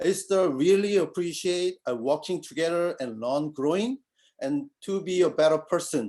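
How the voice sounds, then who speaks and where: Speaking with a non-native accent, a man uses a high pitch, dark, mellow tone and lively intonation at a moderate pace. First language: not English. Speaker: college accounting student. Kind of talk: acceptance speech. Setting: video call.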